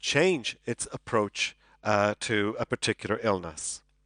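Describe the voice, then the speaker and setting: Close, dry male speech without echo, against a quiet background. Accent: Irish. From Ireland. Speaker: psychology professor. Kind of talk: conference lecture. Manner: hesitant, many fillers and repeats.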